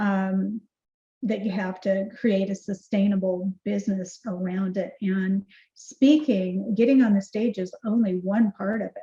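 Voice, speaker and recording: A woman's somewhat breathy voice has a dark, mellow tone, fairly even intonation and a fairly slow pace. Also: medium pitch for a woman. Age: 60s. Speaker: keynote speaker and marketing CEO. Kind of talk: podcast interview.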